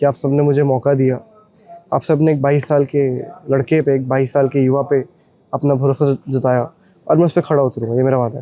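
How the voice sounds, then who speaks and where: A man talks at a moderate pace and a medium pitch. His intonation is monotone and flat. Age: 20s. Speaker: newly elected local councillor. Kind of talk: on-the-spot interview.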